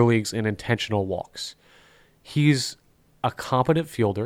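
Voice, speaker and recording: A man speaks at a moderate pace with a slight Southern US accent. The recording is very clean, with a silent background. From North Carolina, raised in NJ/Philly area. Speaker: podcast host. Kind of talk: casual chat.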